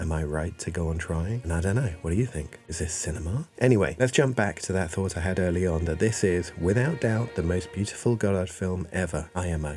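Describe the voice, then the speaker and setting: Music plays in the background as a man speaks softly at a fairly quick pace, with hardly any pauses. His pitch is very deep and low, with ordinary variation. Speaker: video essayist. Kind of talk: video essay narration. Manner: soft-spoken.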